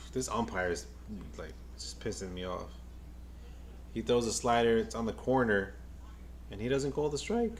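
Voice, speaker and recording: Amid audible room echo, a man with an American accent and vocal fry speaks at a moderate pace in a fairly low pitch, with very wide pitch swings and long, frequent pauses. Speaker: baseball fan streamer, nurse by day. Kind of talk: live game watch-along commentary. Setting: live stream. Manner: casual, repetitive stammering.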